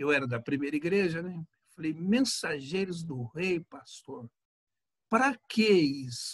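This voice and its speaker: He is a man speaking at a very slow pace and a high pitch. His intonation is lively, and his loudness swings a lot. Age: 60s. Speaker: pastor. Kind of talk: casual chat.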